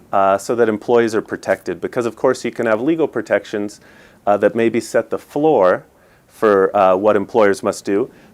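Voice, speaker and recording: In an American accent, a man talks at a moderate pace at medium pitch with ordinary pitch variation and an unremarkable speaking voice. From United States. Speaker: lawyer. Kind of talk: TV interview.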